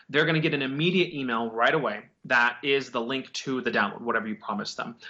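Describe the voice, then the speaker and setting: This man speaks at a fairly quick pace, his medium pitch showing ordinary variation. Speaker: digital marketing agency owner. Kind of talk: interview on marketing tips. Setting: video call. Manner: fast; casual, many fillers.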